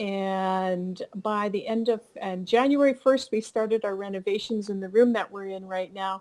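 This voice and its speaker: A woman with a Canadian accent and a normal speaking voice talks at a moderate pace and medium pitch with hardly any pauses, fairly even intonation and big swings in loudness, in a very clean recording with a silent background. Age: 60s. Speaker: fiber artist and instructor. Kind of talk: interview.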